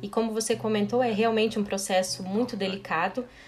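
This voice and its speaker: A woman speaks at a moderate pace with a medium pitch and ordinary pitch variation. Noticeable background noise sits behind her. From Brazil, western Paraná. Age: 30s. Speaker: chemical engineering professor. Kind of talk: interview.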